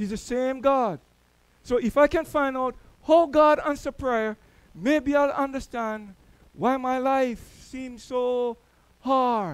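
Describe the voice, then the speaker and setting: A man with a Jamaican accent at an extremely high pitch, very slow pace, ordinary pitch variation, and long, frequent pauses. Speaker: church elder, preacher. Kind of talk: sermon. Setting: church.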